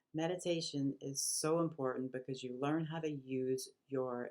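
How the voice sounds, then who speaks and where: A woman with a very deep, low pitch and a dark, mellow tone speaks at a moderate pace in monotone, flat intonation. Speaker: spiritual vlogger. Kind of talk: casual talk to camera. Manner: halting, many fillers.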